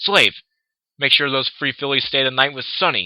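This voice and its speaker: Put-on character voice from a man, medium-pitched, at a moderate pace. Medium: read story. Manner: imperious, hot-tempered.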